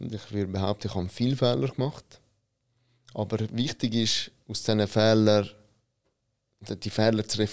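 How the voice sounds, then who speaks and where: Fairly slow speech from a man at medium pitch. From Switzerland, Italian immigrant family. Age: 30s. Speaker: business consultant, company founder. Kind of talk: interview.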